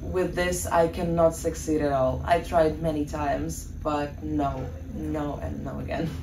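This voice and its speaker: A woman talks at a fairly slow pace, her voice carrying audible room echo over noticeable background noise. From Ukraine. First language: Russian. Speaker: student. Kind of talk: podcast interview.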